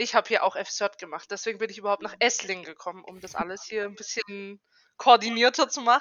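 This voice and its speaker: A woman's fairly high voice with ordinary pitch variation at a moderate pace. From Germany, Karlsruhe (Baden). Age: 20s. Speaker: trainee educator. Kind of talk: casual chat. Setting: remote call from home.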